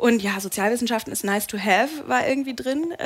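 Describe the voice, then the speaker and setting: A woman's fairly high voice at a fairly quick pace with ordinary pitch variation, amid noticeable background noise. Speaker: TV and radio presenter. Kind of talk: talk show interview. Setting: pub stage with live audience. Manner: talkative.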